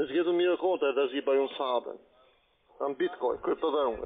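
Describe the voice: A man talks at a fairly quick pace with ordinary pitch variation. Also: medium pitch for a man.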